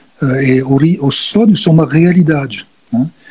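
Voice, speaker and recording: A man speaks in a fairly high pitch with ordinary pitch variation. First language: not Portuguese (speaking Portuguese). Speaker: guest expert on symbolism. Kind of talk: live-stream conversation. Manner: halting, frequent fillers.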